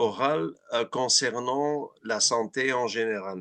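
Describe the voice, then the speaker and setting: Over a quiet background, a man with a Flemish accent speaks at a very slow pace in a bright, sharp tone. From Flanders, Belgium. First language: Dutch (Flemish) (speaking French). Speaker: dental researcher. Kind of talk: webinar Q&A chat. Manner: halting, many repetitions.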